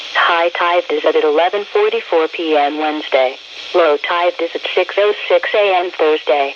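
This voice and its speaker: Noticeable background noise is present throughout. The speech goes at a fairly slow pace. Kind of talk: weather radio broadcast reading tide forecasts. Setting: NOAA weather radio broadcast.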